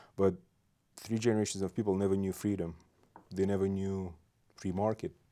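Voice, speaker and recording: In a Belarusian accent, a man talks with a very deep, low pitch. His tone is dark and mellow. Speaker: state legislator. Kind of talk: casual interview.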